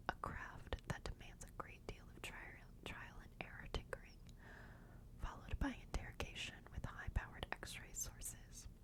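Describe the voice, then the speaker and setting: Noticeable background noise surrounds a woman who is whispering. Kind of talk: whispered ASMR book reading for sleep. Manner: whispered, soft, slow.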